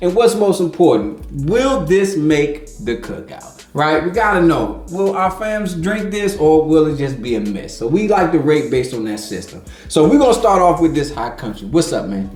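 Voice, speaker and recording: With hardly any pauses, a man with a fairly high pitch talks in an animated tone and very wide pitch swings, backed by music and audible room echo. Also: moderate pace. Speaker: whiskey review podcast host. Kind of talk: casual tasting review chat.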